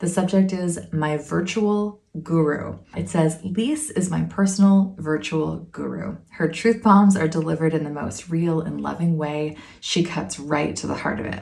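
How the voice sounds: A woman's low-pitched voice with vocal fry, a calm, soothing and slightly mellow tone, fairly even intonation, a fairly slow pace and few pauses.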